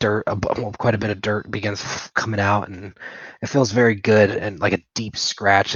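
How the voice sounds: Someone reads in a natural reading voice, keeping the intonation fairly even.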